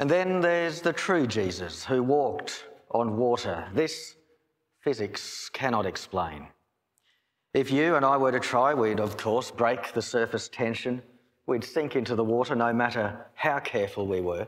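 The delivery is fairly slow, with lively intonation. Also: man, quiet background. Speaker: pastor. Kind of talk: sermon. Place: church. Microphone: podium.

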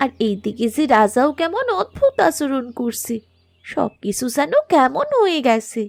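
In a cartoonish character voice, the speaker goes at a fairly slow pace with very wide pitch swings. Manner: soft, concerned.

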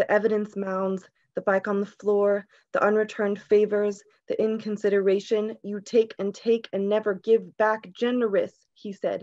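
A woman's dark, mellow voice comes out shaky and in a monotone, flat intonation at a moderate pace, set against a quiet background. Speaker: poet. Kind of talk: poetry reading. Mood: calm, earnest, reflective. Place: home room. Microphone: video call.

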